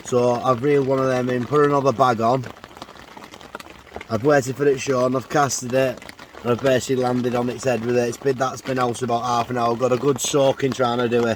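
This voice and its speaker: A man with an English accent rattles along at a very fast pace in monotone, flat intonation over noticeable background noise. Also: medium pitch for a man. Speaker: angler vlogger. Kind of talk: casual vlog. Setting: outdoors. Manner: loud; hesitant.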